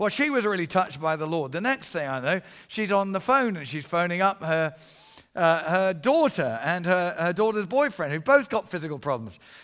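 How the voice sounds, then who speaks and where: A man with an English accent talks at a fairly quick pace in an animated tone. His high pitch moves in very wide swings. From England. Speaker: evangelist. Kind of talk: sermon. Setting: church.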